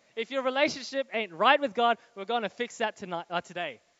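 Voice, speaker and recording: A man talks with lively intonation. His pitch is extremely high. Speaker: guest preacher. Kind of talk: sermon. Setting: church with live audience and live stream. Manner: fast; animated.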